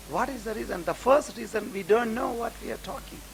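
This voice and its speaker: Behind a man's moderately paced speech, background noise is noticeable. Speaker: Islamic scholar. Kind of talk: religious lecture.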